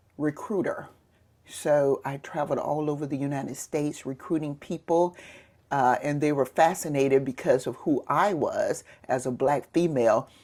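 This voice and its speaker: On a very clean recording with a silent background, a woman with a Southern US accent speaks at a moderate pace in a very deep, low pitch with fairly even intonation. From US South, Mississippi Gulf Coast. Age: 60s. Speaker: retired police sergeant. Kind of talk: interview.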